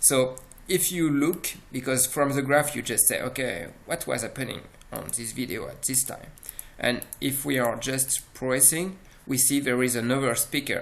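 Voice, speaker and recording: A man speaks with a French accent at a medium pitch. His pace is moderate, with ordinary pitch variation. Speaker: software presenter. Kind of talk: product demo. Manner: halting, many fillers.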